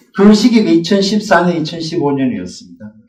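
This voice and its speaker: A man with a slight Gyeongsang accent speaks at a high pitch and a fairly quick pace. His intonation is lively, and the room echo is audible. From Gyeongsang region, South Korea. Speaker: middle school math teacher. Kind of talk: teacher training presentation.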